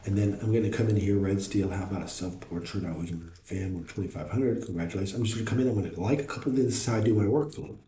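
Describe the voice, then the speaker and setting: A man talks at a very fast pace with hardly any pauses. Noticeable background noise and audible room echo are present. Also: fairly low pitch for a man, ordinary pitch variation. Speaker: NFT art reviewer, live streamer. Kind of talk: live stream art review, reading chat. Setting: live stream. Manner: loud, self-described; casual, filler-heavy with repetitions.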